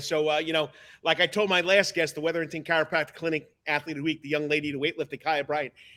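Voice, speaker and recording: Speaking very fast in a New York accent, a man with a fairly high pitch and a bright, sharp tone keeps a monotone, flat intonation, captured in a very clean recording with a silent background. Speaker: sports talk show host, coach. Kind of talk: live sports talk show. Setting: studio sound stage. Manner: fast-talking.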